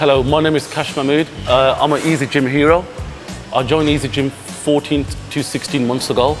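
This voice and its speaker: A man speaks at a fairly quick pace with clear music in the background. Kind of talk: interview answer. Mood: earnest, reflective. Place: gym. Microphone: lapel.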